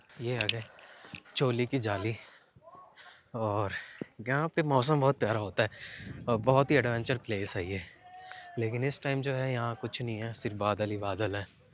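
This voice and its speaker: Noticeable background noise accompanies speech at a fairly slow pace with long, frequent pauses. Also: man, medium pitch for a man, ordinary pitch variation. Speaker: travel vlogger. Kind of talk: casual vlog narration. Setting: outdoors on a mountain ride.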